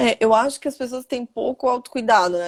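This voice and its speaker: A woman speaks at a fairly quick pace with ordinary pitch variation. The sound is dry and close, with no echo. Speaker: endocrinologist. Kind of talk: interview. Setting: online live stream. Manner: fast.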